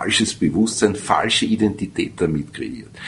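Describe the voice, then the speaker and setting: The man speaks at a fairly low pitch. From Austria, Vienna. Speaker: radio host and sociologist. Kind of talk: interview.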